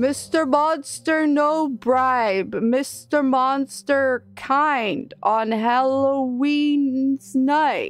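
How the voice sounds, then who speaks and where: A woman's high-pitched, put-on character voice, very slow and with hardly any pauses. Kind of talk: simple broken grammar. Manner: dumb, slow, broken speech.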